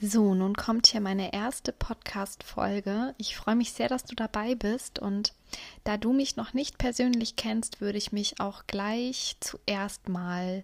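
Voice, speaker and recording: Her pitch sits fairly high for a woman, and her intonation stays fairly even. She speaks at a very slow pace. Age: 30s. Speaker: podcast host. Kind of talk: casual monologue. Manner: hesitant, many fillers.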